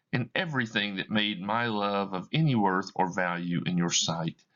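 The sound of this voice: Lively intonation runs through an unforced reading voice.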